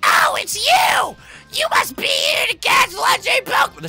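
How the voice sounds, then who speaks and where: A shouted, put-on character voice at an extremely high pitch and a moderate pace, over music in the background. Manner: cheerful, welcoming.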